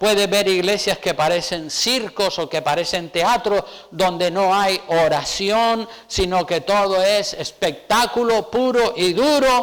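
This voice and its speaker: The speech moves at a very slow pace, with ordinary pitch variation and very even loudness. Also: man, high pitch for a man. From Canary Islands, Spain. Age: 60s. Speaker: pastor. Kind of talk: sermon.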